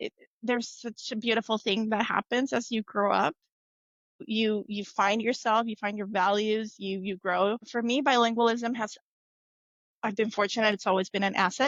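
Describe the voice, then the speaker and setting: A woman speaks in a Spanish accent. Her pitch is fairly high. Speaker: tech manager. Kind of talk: interview.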